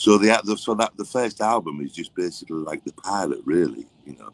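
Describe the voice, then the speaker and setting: A man with an English accent at a fairly quick pace, ordinary pitch variation, and a dry, close sound with no echo. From England. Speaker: songwriter and record producer. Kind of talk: interview.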